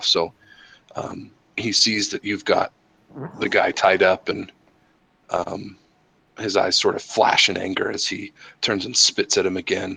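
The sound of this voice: Using a put-on character voice, a man speaks hoarse and raspy at a moderate pace with long, frequent pauses.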